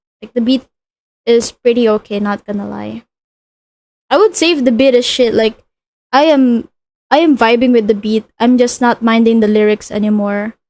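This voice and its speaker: With a non-native accent and a fairly high pitch, a woman speaks at a moderate pace with ordinary pitch variation and long, frequent pauses, in a dry, close sound with no echo. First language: not English. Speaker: streamer. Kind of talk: casual chat. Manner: halting.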